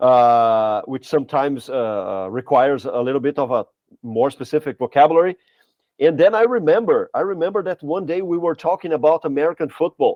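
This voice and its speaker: This man has a Portuguese accent and lively intonation. He speaks at a fairly quick pace. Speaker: language teacher, podcast co-host. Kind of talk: casual podcast chat. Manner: halting, many fillers and restarts.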